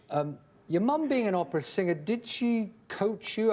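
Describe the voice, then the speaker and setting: A man talks with lively intonation. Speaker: TV talk show host. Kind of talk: talk show host introduction and interview questions.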